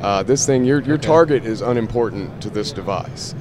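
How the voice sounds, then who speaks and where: A man speaks at a moderate pace and medium pitch with ordinary pitch variation over noticeable background noise. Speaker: product representative. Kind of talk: product demonstration. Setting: trade show booth.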